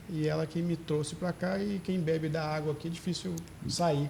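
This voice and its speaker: Fairly high in pitch, this man's voice carries a dark, mellow tone. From Teófilo Otoni, Minas Gerais, Brazil. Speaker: doctor. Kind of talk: interview.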